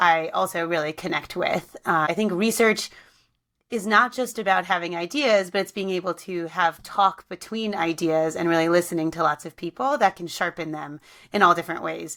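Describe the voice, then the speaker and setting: A woman's fairly low voice, bright and sharp in tone, with ordinary pitch variation and a very clean recording over a silent background. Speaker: podcast host, researcher. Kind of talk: interview conversation. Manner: fast.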